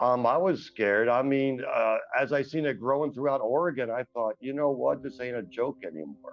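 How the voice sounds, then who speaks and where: A man with an American accent at a medium pitch and moderate pace, ordinary pitch variation, music in the background. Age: 60s. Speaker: formerly homeless man sharing his story. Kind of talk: testimony interview. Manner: hesitant, with many fillers.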